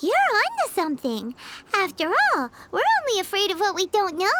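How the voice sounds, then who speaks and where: Pitched extremely high, the cartoonish character voice moves along at a moderate pace. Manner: dry, teasing.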